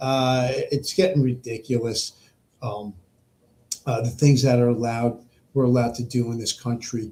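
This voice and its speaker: A man's somewhat breathy, medium-pitched voice with an American accent, dark and mellow in tone, at a moderate pace with fairly even intonation and long, frequent pauses. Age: 60s. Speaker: podcast host. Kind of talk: political monologue. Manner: halting, many repetitions and fillers.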